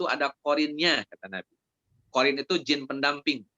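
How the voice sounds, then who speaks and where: With a West Javanese accent, a man talks at a fairly quick pace, his fairly high pitch showing ordinary variation. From Indonesia, Sundanese (West Java). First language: Sundanese (speaking Indonesian). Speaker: Islamic preacher. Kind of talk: religious study Q&A. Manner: conversational, with fillers.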